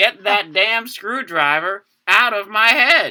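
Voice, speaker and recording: A man uses a put-on character voice, pitched high and delivered at a fairly slow pace. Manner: groaning, gruff.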